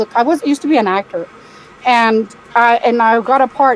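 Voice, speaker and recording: There is noticeable background noise. A woman speaks at a high pitch. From Spain. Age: 60s. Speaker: caller. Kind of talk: casual chat.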